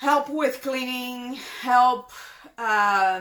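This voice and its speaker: Speaking at a very slow pace with a Brazilian Portuguese accent, the woman uses ordinary pitch variation. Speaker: vlogger, breast cancer patient. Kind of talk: casual Q&A vlog. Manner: halting, many fillers and repeats.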